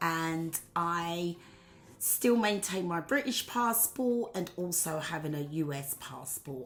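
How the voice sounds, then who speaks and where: A woman with an English accent, very slow in pace and lively in intonation. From England. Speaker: political commentator vlogger. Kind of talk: opinion monologue. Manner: casual with filler words.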